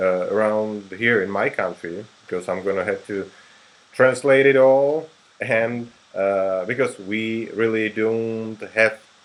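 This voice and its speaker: Here a man speaks with a Czech accent. His pitch variation is ordinary. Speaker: interviewer and translator. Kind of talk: interview.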